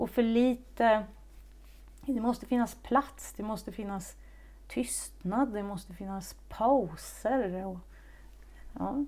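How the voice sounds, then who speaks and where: Very slow and broken by long, frequent pauses, a woman's voice swings widely in loudness. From Stockholm, then Säffle, Värmland. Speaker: actress. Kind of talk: interview. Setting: at her home. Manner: halting.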